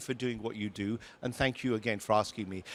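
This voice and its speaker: Speaking at a fairly quick pace, a man with a northern English accent keeps an animated tone. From northern England, Lancashire. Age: 60s. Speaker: tech company CEO. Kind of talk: fireside chat on stage.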